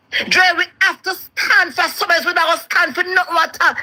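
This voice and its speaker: A woman with a Jamaican accent projects a raised voice at an extremely high pitch, speaking at a fairly quick pace with lively intonation. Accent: Jamaican Patois. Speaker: caller on live show. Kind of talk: casual chat. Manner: halting, repetitive.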